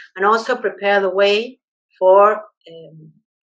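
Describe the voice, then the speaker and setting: A woman talks rather slowly. Her voice sits at a medium pitch. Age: 60s. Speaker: biologist. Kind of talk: interview. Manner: halting, many fillers.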